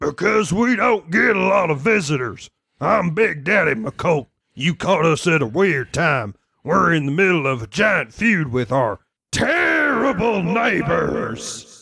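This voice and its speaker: A man shouting loudly in a put-on character voice, high-pitched and at a fairly slow pace. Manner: loud, yelling.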